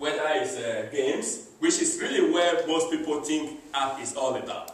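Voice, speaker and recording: Over noticeable background noise and audible room echo, a man talks at a moderate pace with a Nigerian accent. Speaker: business presenter. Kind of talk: business presentation.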